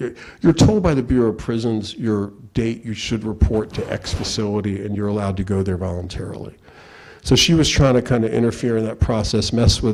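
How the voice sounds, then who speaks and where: An unremarkable speaking voice from a man with an American accent, fairly low in pitch with ordinary variation and a fairly quick pace. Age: 60s. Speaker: lawyer and invited speaker. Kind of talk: talk to law students. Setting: law school lecture room with audience. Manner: casual, conversational with repeated fillers.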